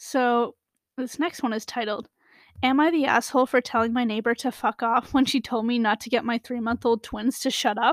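A woman talks with a high pitch at a moderate pace. The sound is dry and close with no echo, in a very clean recording with a silent background. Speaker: podcast host. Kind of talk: reading aloud. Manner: animated.

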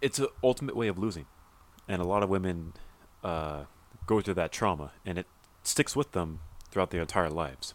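With a Californian accent and a very deep, low pitch, a man speaks at a fairly quick pace, his intonation lively. He leaves long, frequent pauses, and the recording is very clean with a silent background. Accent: Californian American. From Southern California. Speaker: podcast co-host. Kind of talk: casual chat.

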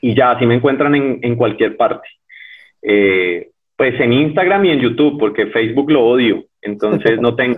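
At a moderate pace, a man with a Cali accent talks with ordinary pitch variation. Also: medium pitch for a man. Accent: Colombian, Cali (caleño) Spanish. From Colombia, Cali. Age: 30s. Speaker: cyclist and ultra-endurance athlete. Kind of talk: interview. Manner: hesitant, many repetitions.

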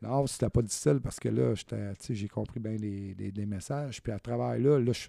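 Speaking at a moderate pace, a man with a fairly low voice uses lively intonation in a dry, close sound with no echo. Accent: Quebec. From Quebec. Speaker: guest sharing life story. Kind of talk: testimony.

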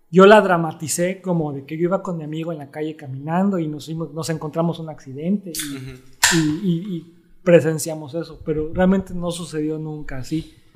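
Over noticeable background noise, a man with a fairly high voice talks at a fairly quick pace with hardly any pauses, fairly even intonation and big swings in loudness. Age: 40s. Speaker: illustrator. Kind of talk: casual chat.

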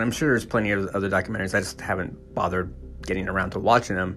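A man with an American accent speaks at a very fast pace. Music plays in the background. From California. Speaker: podcast host. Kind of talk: casual monologue. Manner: hesitant, many fillers.

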